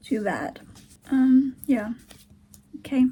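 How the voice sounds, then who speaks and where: Vocal fry over a dark, mellow tone. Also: woman. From Turkey. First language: Turkish. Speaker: vlogger, aspiring writer. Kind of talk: casual video diary. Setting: at home, sitting on the floor. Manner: halting.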